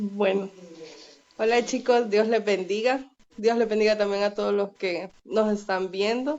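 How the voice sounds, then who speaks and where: A woman talks at a fairly slow pace with medium pitch and fairly even intonation. Noticeable background noise runs beneath her. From El Salvador. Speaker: podcast guest. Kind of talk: casual chat.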